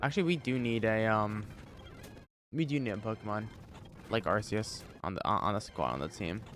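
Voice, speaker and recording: Over music in the background, a man speaks fairly quickly with lively intonation at a fairly low pitch. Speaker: livestreamer, gamer. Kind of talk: casual live-stream chat. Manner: animated.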